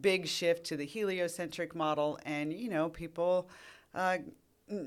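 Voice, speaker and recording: Speaking fairly slowly, a woman has an unremarkable speaking voice, fairly low in pitch, with ordinary pitch variation. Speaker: earth science professor. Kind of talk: casual interview.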